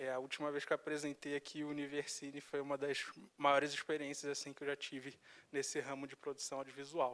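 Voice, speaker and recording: In a Rio de Janeiro accent, a man speaks at a fairly high pitch with a monotone, flat intonation. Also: fairly quick pace. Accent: carioca. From Rio de Janeiro, Brazil. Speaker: video editor and content creator. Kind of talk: interview.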